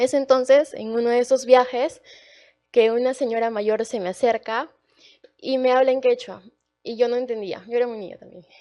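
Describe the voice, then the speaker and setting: This woman's tone comes across dark and mellow. Her voice is high-pitched. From Peru, Arequipa. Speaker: university student. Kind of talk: panel talk, personal testimony. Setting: auditorium event, livestreamed. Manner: hesitant, many fillers.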